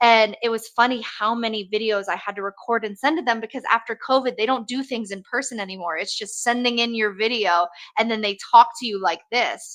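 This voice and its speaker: This woman has a fairly high pitch and fairly even intonation. She moves at a fairly quick pace with hardly any pauses. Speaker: hair colorist and educator. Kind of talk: interview chat. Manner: fast.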